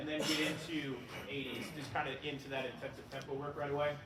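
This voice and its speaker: A man speaks at a fairly quick pace with a fairly high pitch. Noticeable background noise and audible room echo fill the recording. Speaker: track and field coach. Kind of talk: clinic lecture. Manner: fast; casual, filler words.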